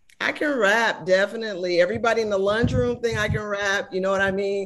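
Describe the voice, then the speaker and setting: At a fairly quick pace, a woman with an American accent speaks at medium pitch with ordinary pitch variation. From Oakland, California. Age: 50s. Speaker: music journalist. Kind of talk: interview. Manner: animated.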